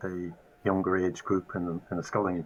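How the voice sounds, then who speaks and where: Through noticeable background noise, a man with an Irish accent and a very deep, low pitch speaks at a moderate pace. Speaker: masters rower. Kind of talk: casual chat.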